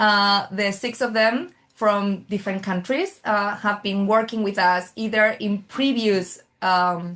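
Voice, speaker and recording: A woman in a Spanish accent speaks at a very slow pace with hardly any pauses and fairly even intonation. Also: medium pitch for a woman. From Spain. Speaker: oncology nurse. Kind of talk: webinar moderation.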